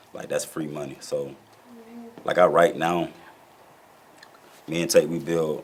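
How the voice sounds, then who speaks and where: A man talks at a moderate pace, and noticeable background noise can be heard behind him. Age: 30s. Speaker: rapper and label co-founder. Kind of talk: interview. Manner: casual, streetwise.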